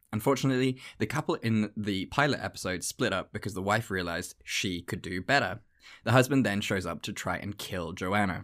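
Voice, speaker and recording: On a very clean recording with a silent background, a man speaks at a fairly quick pace with ordinary pitch variation. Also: fairly low pitch for a man. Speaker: podcast co-host. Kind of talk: casual chat. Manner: animated.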